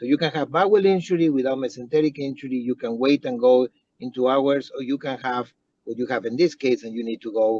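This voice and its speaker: A man speaks with a non-native accent in a dark, mellow tone. His pace is fairly quick, and the sound is dry and close with no echo. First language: not English. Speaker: trauma surgeon. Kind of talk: case discussion panel comment. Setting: in a car, online meeting. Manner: halting.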